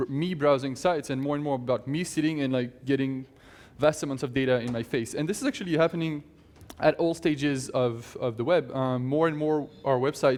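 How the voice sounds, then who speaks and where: A man with a fairly high voice moves along fairly quickly, his intonation fairly even. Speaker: conference speaker; tech company CEO. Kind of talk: conference talk. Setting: stage with audience. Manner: fast.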